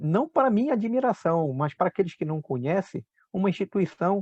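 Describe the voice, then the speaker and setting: With a dry, close sound and no echo, a man talks at a fairly quick pace in a high, dark, mellow voice that swings very widely in pitch. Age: 60s. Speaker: agronomist, agricultural researcher. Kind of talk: interview. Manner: hesitant, many fillers.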